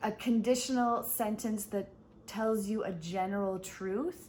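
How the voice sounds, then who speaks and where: A somewhat breathy woman's voice at medium pitch, with ordinary pitch variation. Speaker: English teacher. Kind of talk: online English lesson. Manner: slow, clear.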